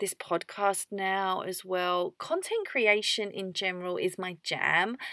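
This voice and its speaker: On a very clean recording with a silent background, a woman with an English accent speaks at a medium pitch in a dry, close sound with no echo. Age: 30s. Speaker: podcast host, homemaker. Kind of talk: solo podcast monologue. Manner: chatty, talkative.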